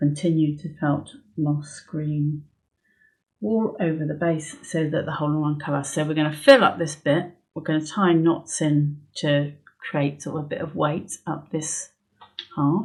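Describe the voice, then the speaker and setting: A woman with a very deep, low, somewhat breathy voice speaks at a fairly slow pace, recorded very cleanly over a silent background. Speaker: needle felting instructor. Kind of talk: tutorial. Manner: casual, hesitant with fillers; soft-spoken, whispering at times.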